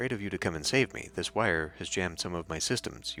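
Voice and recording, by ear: A man puts on a robotic character voice with a very deep, low pitch. He goes at a fairly quick pace over clear background noise.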